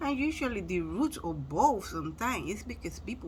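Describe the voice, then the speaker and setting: A fairly quick pace in a Spanish accent. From Spanish-speaking country. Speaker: motivational vlogger. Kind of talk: motivational talk. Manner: casual, conversational.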